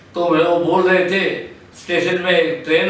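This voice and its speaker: A man speaks with a high pitch and fairly even intonation, with noticeable background noise and audible room echo. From Punjab, India (Ludhiana). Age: 70s. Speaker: partition witness. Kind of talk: testimony.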